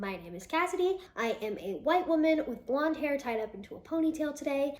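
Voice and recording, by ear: A woman speaks in a high voice with lively intonation. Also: fairly quick pace.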